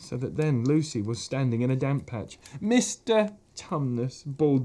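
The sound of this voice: This is an unforced reading voice. The intonation is lively.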